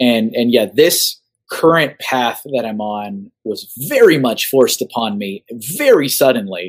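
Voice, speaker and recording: A man with an unremarkable speaking voice talks at a fairly slow pace, his medium pitch carried by lively intonation. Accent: American. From Austin, Texas. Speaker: artist. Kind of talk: casual chat.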